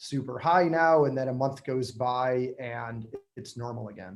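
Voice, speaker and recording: Here is a man with a normal speaking voice. His pitch is medium, with ordinary pitch variation. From Michigan. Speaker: real estate agent. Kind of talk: webinar panel answering questions.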